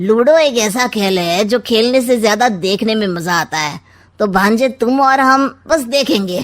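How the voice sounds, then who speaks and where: Using a cartoonish character voice, a woman speaks at a fairly high pitch with lively intonation and hardly any pauses. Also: moderate pace. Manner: sly, sarcastic, smug.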